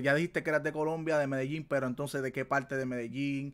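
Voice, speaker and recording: A man with a Puerto Rican accent talks at a fairly quick pace. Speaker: gaming podcast host. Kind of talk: casual chat. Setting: livestream. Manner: animated. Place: home room.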